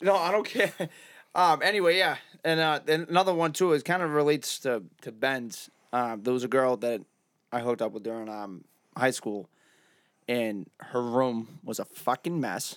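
Against a silent background in a very clean recording, a man with a Boston accent talks at a medium pitch with lively intonation. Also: moderate pace. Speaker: podcast co-host. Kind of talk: casual chat. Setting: studio.

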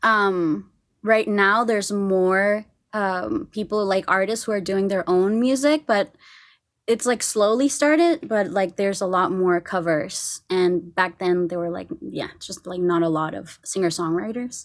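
On a very clean recording with a silent background, a woman with a Spanish accent speaks at a fairly slow pace, her medium pitch showing ordinary variation. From Costa Rica. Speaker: singer-songwriter. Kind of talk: casual interview chat.

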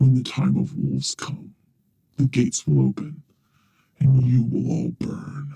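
A man's growling, put-on character voice at a moderate pace, with long, frequent pauses. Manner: menacing.

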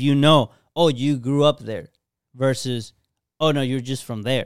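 A man with a normal speaking voice talks at a moderate pace and a fairly high pitch, in a very clean recording with a silent background. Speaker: podcast co-host. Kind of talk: casual chat.

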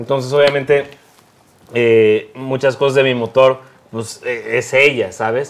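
Fairly slow, monotone, flat delivery from a man. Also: medium pitch for a man. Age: 20s. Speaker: bassist and content creator. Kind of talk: casual chat.

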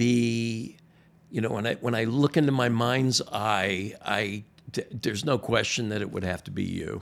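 A man with an American accent has a normal speaking voice at a medium pitch. He speaks at a fairly slow pace with ordinary pitch variation. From US South, Miami. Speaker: pastor. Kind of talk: casual chat. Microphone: new microphone.

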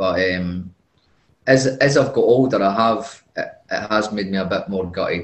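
Somewhat breathy, the voice has a Scottish accent and ordinary pitch variation. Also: man. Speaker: football player. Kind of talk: casual interview answers.

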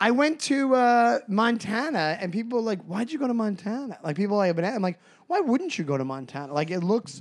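A man with a New York accent speaks at a high pitch. His pitch swings very widely. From Long Island, New York. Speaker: podcast co-host, comedian. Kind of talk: casual chat. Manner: fast talker.

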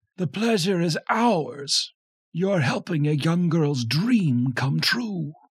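A man speaks in a put-on character voice, pitched fairly high. His delivery is very slow, with lively intonation. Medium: read story. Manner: calm, measured.

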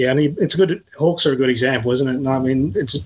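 A man speaks with an Australian accent. He talks at a very fast pace. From Tasmania, Australia. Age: 30s. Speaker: journalist. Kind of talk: casual interview.

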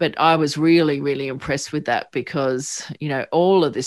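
A woman with an Australian accent speaks at a moderate pace in a very deep, low pitch with fairly even intonation, on a very clean recording with a silent background. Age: 50s. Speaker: psychotherapist and podcast host. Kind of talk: interview.

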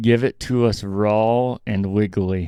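Against a quiet background, a man puts on a raspy character voice, pitched fairly low and delivered at a fairly slow pace. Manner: whining, greedy.

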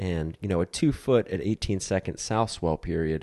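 Over a quiet background, a man speaks in a relaxed tone with very deep, low pitch and ordinary pitch variation, the sound dry and close with no echo. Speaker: podcast host and paddle surf coach. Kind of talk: podcast interview and ad reads. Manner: unscripted, relaxed.

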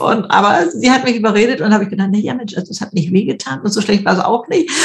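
A woman's pitch varies in an ordinary way while noticeable noise sounds behind her. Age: 70s. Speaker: YouTuber and author. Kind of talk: interview. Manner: hesitant fillers.

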